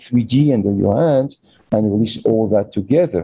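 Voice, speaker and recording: A man speaks at a fairly quick pace with a French accent. His medium-pitched, dark, mellow voice shows ordinary pitch variation. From France. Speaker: physician and manual therapy teacher. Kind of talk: interview. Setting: online call. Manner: speeds up when passionate.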